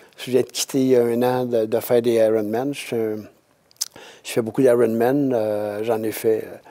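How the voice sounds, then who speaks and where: A man of medium pitch talks at a moderate pace in a monotone, flat intonation. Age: 70s. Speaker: retired triathlete. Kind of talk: casual chat. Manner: halting.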